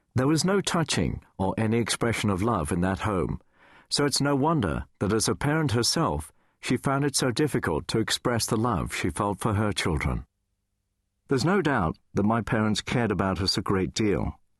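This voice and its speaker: Against a quiet background, a man with a fairly low pitch and vocal fry speaks at a moderate pace, making very wide pitch swings at very even loudness, the sound dry and close with no echo. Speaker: radio DJ. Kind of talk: audiobook memoir reading.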